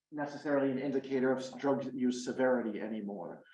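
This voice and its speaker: A man talks at a fairly quick pace amid audible room echo. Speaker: addiction researcher, professor. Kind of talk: lecture.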